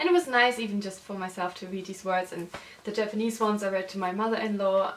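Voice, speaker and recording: A woman speaks with a German accent at a fairly quick pace and with fairly even intonation. Noticeable background noise is present. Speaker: illustrator and designer. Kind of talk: casual book review vlog. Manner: hesitant, with fillers.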